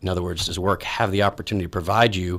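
A man talks at a very fast pace with an American accent. The background is quiet. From Texas, Dallas. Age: 40s. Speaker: executive search company CEO; interview guest. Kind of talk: interview. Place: studio. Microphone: studio mic.

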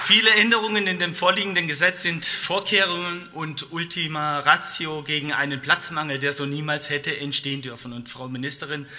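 A man's fairly high voice at a moderate pace, with ordinary pitch variation, big swings in loudness and hardly any pauses. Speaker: politician. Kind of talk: parliamentary speech. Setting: parliament chamber. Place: hall. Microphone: podium.

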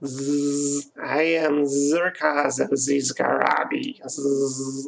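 A man does a put-on character voice, squeaky and fairly high pitched. He delivers it at a very slow pace.

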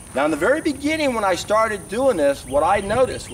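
Over light background noise, a man's voice moves in very wide pitch swings. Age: 60s. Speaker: raw vegan health vlogger. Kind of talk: monologue to camera. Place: open country.

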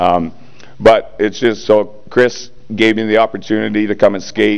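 A plain, everyday voice from a man with a Canadian accent, fairly low in pitch and fairly slow in pace. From Ontario, Canada. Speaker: retired hockey player, hall of fame inductee. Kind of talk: acceptance speech. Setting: stage with audience. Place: hall. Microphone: podium.

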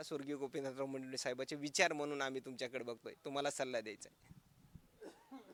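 A man with a fairly high pitch speaks in a monotone, with flat intonation. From Maharashtra, Beed district. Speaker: local news reporter. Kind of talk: news interview.

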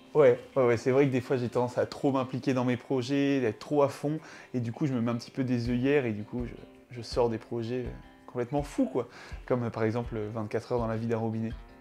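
Flat, monotone delivery at a fairly quick pace over faint background music. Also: man. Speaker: comedy youtuber. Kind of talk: mock documentary interview answer. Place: home room.

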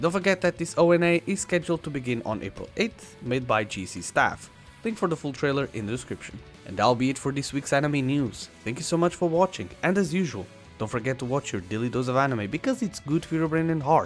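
Music plays in the background as a man talks at a very fast pace. His voice is fairly high, with very wide pitch swings. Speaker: anime news youtuber. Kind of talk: anime news narration.

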